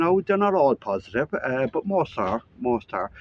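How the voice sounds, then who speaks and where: A man with an Irish accent speaks at a moderate pace with lively intonation. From Ireland. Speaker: vlogger. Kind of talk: casual vlog monologue. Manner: casual, with frequent fillers.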